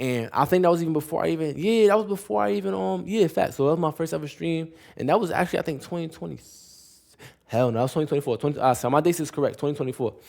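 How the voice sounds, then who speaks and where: A man talks at a very fast pace, his pitch fairly high for a man. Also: lively intonation. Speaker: streamer. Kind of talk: casual storytelling vlog. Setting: live stream.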